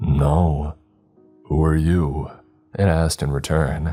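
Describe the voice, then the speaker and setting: In a put-on character voice, a man speaks with a raspy, very deep, low pitch at a fairly slow pace over faint music in the background. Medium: read story. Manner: formal, archaic phrasing.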